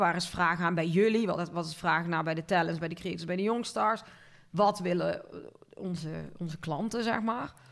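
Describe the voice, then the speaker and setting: A woman's fairly low voice at a moderate pace. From Netherlands, North Brabant (Linden near Cuijk). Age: 40s. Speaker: marketing agency owner. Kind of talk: casual interview.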